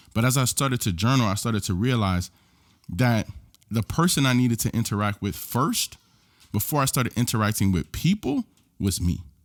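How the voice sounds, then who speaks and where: A man with a normal speaking voice, a fairly quick pace and ordinary pitch variation, in a very clean recording with a silent background and a dry, close sound with no echo. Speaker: podcast host and life coach. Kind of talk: solo podcast monologue.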